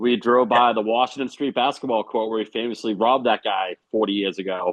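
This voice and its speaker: A man with a Boston accent at a fairly quick pace, his intonation fairly even. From Boston, Massachusetts. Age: 40s. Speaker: punk drummer. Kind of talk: casual interview chat.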